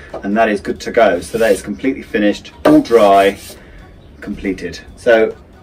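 A man's normal speaking voice, fairly low in pitch, with ordinary pitch variation, a moderate pace and light background noise. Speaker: vlogger. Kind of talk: casual vlog chat. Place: home room.

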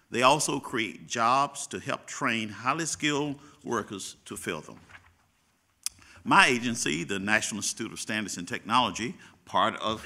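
Vocal fry marks this man's bright, sharp tone. He talks at a moderate pace over a quiet background. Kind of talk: formal prepared speech. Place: hall. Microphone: podium.

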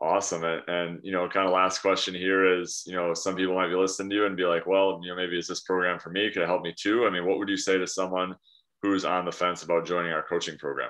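Very fast, monotone, flat speech with hardly any pauses against a quiet background. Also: man, very deep, low pitch for a man. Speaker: fitness coach. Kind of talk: interview questions to client. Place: home room. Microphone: video call.

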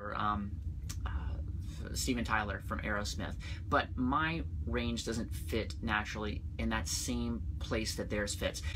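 A man's very deep, low-pitched voice with very wide pitch swings over noticeable background noise. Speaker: singing vlogger. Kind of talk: casual vlog chat. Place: home room. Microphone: phone near.

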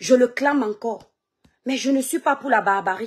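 Against a quiet background, a woman talks at a moderate pace with a high pitch and ordinary pitch variation. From Cameroon, Kribi/Douala; Cameroon. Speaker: social media live streamer and online seller; social commentator. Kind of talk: live stream monologue. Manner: animated. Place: home room. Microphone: phone near.

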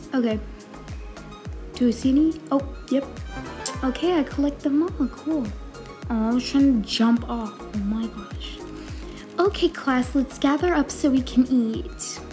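Music plays in the background as a woman talks. She goes at a fairly slow pace with long, frequent pauses. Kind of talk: casual gameplay commentary.

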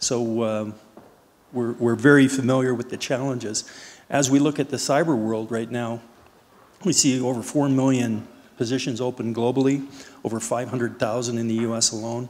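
Delivered at a moderate pace, a man's voice stays monotone and flat in intonation. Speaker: panelist. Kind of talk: panel introduction talk. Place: stage. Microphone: handheld.

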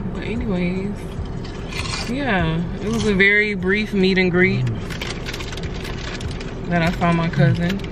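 A woman speaks fairly slowly with long, frequent pauses, the sound dry with no echo but with noticeable background noise. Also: ordinary pitch variation. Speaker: vlogger. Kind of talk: casual vlog chat. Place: car. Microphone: phone near.

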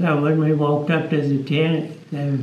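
Fairly slow pace with audible room echo. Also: man. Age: 80s+. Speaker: muzzleloading rifle shooter. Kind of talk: interview answer. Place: hall.

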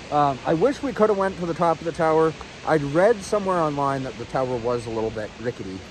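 A man's lively intonation comes through a dry sound with no echo, with noticeable background noise behind him. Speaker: hiker vlogger. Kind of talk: casual vlog chat. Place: forest. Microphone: phone near.

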